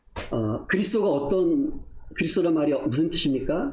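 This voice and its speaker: With audible room echo, a man speaks at a fairly slow pace in a fairly high pitch, his intonation lively. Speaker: missionary preacher. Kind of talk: sermon.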